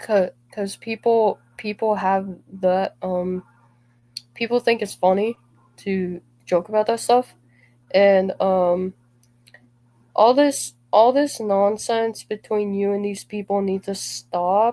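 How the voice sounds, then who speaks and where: In a dry, close sound with no echo, a woman talks at a medium pitch and a very slow pace, her dark, mellow tone held to fairly even intonation with long, frequent pauses. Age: 20s. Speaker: gaming streamer. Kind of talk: livestream talk about personal grievances. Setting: live stream.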